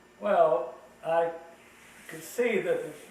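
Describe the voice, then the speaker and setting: Noticeable background noise surrounds this male speaker. The room adds an audible echo. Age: 80s. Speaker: elderly family member telling family history. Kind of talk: family oral history chat.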